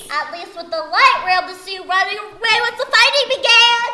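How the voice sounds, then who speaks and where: A woman uses a put-on character voice with extremely high pitch, lively intonation and big swings in loudness. She talks fairly quickly over clear background noise. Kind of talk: comic overacting. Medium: comedy sketch. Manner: grandiose, third-person speech.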